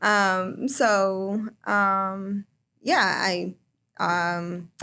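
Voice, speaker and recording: In a Chicago accent, a woman speaks at medium pitch with a bright, sharp tone and fairly even intonation. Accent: Chicago-area American. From northern Illinois, Chicago area. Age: 20s. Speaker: home care coordinator. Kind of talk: casual interview.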